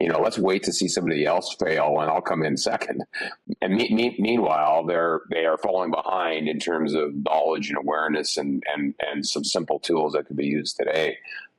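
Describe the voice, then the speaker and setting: Over noticeable background noise, a man with a Canadian accent talks at a fairly quick pace in a very deep, low pitch with fairly even intonation. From Canada, Calgary. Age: 60s. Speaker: executive leadership coach. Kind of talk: interview. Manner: halting, many repetitions and fillers.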